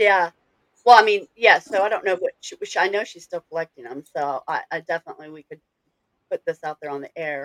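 In a plain, everyday voice, a woman with an American accent talks at a medium pitch and a fairly quick pace, with lively intonation and big swings in loudness, the sound dry and close with no echo. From northern US. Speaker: podcast host. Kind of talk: casual chat.

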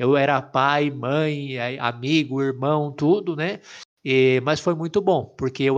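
The background is quiet. A man with an ordinary speaking voice talks at a fairly high pitch, varying it in an ordinary way. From Brazil, interior of São Paulo state. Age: 30s. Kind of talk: casual chat, personal vocation story.

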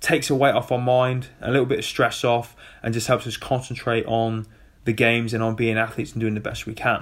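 Fairly quick and flat in intonation, a man with a British accent speaks at medium pitch on a very clean recording with a silent background. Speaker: former Royal Marine, adaptive athlete podcaster. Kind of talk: solo podcast monologue. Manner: casual, chatty.

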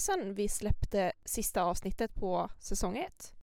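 A woman is speaking. Her pitch swings very widely. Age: 20s. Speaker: podcast co-host, psychology student. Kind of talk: casual chat.

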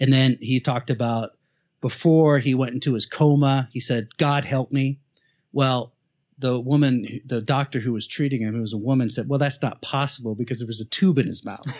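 This man talks at a moderate pace in a medium pitch, with fairly even intonation. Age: 50s. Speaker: writer and meditation-focused entrepreneur, podcast host. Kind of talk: casual interview.

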